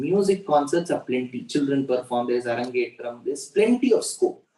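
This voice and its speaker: This man's voice has a dark, mellow tone and sits fairly high. He speaks at a moderate pace. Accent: Indian. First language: Tamil. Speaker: religious discourse speaker. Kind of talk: religious discourse.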